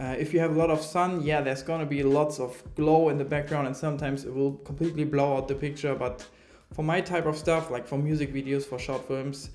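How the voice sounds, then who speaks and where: The speaker uses a German accent, talking at a fairly quick pace with monotone, flat intonation. Room echo is audible. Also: man, fairly high pitch for a man. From Germany. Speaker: filmmaker reviewing camera gear. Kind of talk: product review. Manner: hesitant, many fillers.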